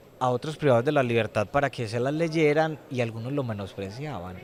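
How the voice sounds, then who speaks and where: Medium-pitched male speech at a moderate pace with ordinary pitch variation over background music. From Colombia, Medellín. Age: young. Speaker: prison inmate and former teacher. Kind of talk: testimony interview.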